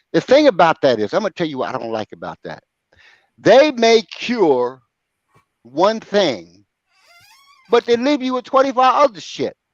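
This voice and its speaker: A man's high-pitched, animated voice at a moderate pace, with long, frequent pauses, very wide pitch swings and big swings in loudness, in a dry, close sound with no echo. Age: 60s. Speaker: sports talk show host. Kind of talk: casual chat. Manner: halting.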